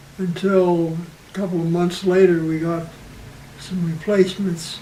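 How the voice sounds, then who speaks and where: A man with an American accent, high-pitched for a man, at a fairly slow pace with monotone, flat intonation, amid noticeable background noise and audible room echo. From US, western Pennsylvania. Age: 80s+. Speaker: war veteran. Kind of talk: oral history interview. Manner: halting.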